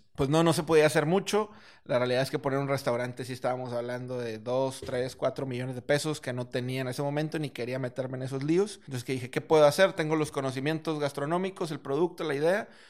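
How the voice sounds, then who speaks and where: Speaking at a fairly quick pace with hardly any pauses, a man has a plain, everyday voice, a fairly high pitch and ordinary pitch variation. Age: 20s. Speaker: restaurant entrepreneur. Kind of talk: casual interview.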